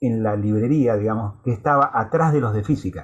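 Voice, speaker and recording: A somewhat breathy male voice. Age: 60s. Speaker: university lecturer. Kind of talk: lecture. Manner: halting, with many fillers.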